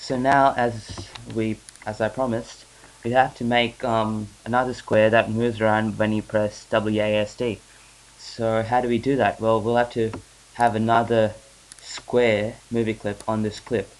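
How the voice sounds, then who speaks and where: The voice holds a flat monotone. Its pace is moderate. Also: man. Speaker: software tutorial maker. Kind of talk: screen-recorded software tutorial. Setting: home recording, weak mic. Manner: hesitant, many filler sounds.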